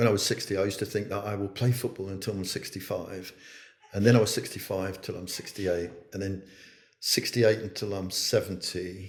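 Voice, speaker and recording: Somewhat breathy and fairly low in pitch, a man talks at a fairly quick pace in a monotone, flat intonation. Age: 70s. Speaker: chief executive of an early years charity. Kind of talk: casual chat. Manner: halting.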